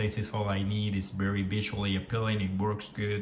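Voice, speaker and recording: A man at a moderate pace, with audible room echo. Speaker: product reviewer. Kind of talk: casual product review. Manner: hesitant, many fillers.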